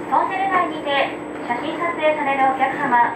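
A woman's voice with ordinary pitch variation amid loud background noise. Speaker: train crew announcer. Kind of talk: onboard announcement. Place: train. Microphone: pa.

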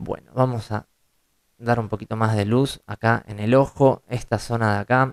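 A normal speaking voice moves at a fairly slow pace with fairly even intonation, in a dry sound with no echo and a quiet background. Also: man. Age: 30s. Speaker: photo retoucher and tutorial creator; photo retouching tutor. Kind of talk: tutorial. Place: home room.

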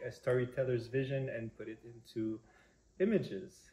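A man with a Quebec accent talks at a moderate pace, somewhat breathy, with a dark, mellow tone. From Quebec, Montreal. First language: French. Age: 20s. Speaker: prospective parent. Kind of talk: personal introduction video. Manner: halting, many fillers. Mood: warm, relaxed, smiling. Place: kitchen. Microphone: camera far.

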